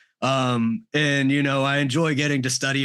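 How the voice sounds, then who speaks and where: The background is quiet. A man speaks with a bright, sharp tone at a fairly high pitch. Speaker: audio producer and reaction video creator. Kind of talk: casual interview chat. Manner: loud.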